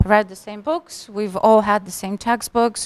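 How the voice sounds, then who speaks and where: A woman's voice in a Russian accent at a moderate pace, dry and close with no echo. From Russia, Moscow. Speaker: tech professional, immigrant panelist. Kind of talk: panel discussion.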